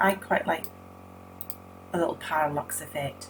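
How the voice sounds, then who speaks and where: A woman's speech unfolds at a moderate pace. Behind her, music is playing. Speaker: web design tutor. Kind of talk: screen-recorded tutorial.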